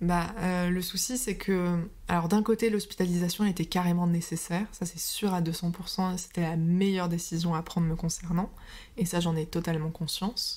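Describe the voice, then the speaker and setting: At a moderate pace, a woman speaks in a fairly low pitch with fairly even intonation. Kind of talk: interview answer.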